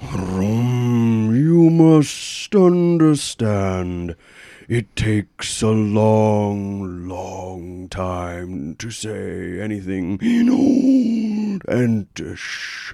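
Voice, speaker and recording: A man's put-on character voice, fairly low in pitch, very slow, with hardly any pauses. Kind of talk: ponderous, solemn. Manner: very slow, drawn-out.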